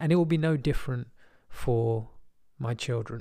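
A man with a British accent, medium in pitch and dark and mellow in tone, on a very clean recording with a silent background. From England. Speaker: podcast host. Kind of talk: personal monologue.

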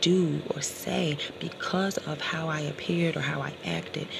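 A woman is talking, and noticeable background noise can be heard behind her. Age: 30s. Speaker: motivational podcaster. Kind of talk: motivational monologue.

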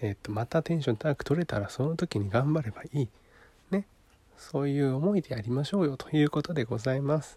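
The voice is somewhat breathy, with ordinary pitch variation. The pace is very fast. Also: man, fairly high pitch for a man. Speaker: podcast host. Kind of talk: solo monologue talk to listeners. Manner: stumbling over words; casual, rambling.

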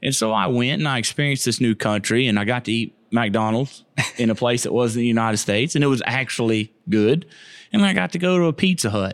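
A medium-pitched man with a Southern US accent, very fast pace and lively intonation. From Florida, Keysville/Lithia area. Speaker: missionary. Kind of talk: casual interview.

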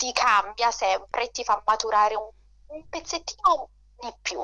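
The speaker is a woman with a Neapolitan accent. Her pitch is fairly high. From Naples, Italy. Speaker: debut novelist. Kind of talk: radio interview.

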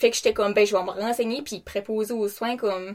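A woman speaks at a fairly quick pace, her fairly high voice held in a fairly even intonation. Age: 20s. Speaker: care attendant. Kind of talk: casual chat.

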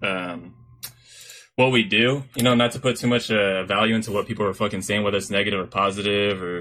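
A man with an American accent and an ordinary speaking voice, ordinary pitch variation, and a fairly quick pace. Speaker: podcast host. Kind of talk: casual chat.

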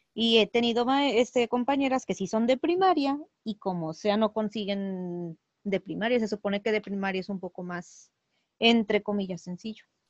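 A woman speaks at a moderate pace in an unremarkable speaking voice, her pitch fairly high with ordinary variation. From Mexico. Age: 30s. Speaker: preschool teacher and cosplayer. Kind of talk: casual interview chat.

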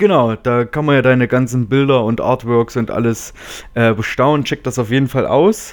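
A man talks at a moderate pace, his medium pitch showing ordinary pitch variation. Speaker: podcast co-host. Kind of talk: casual chat.

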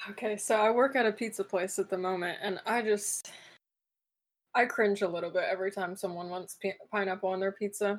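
A woman talks at a fairly quick pace in an ordinary speaking voice. Her medium pitch follows a fairly even intonation. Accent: American. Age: 20s. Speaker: college student and CrossFit athlete. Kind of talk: casual interview.

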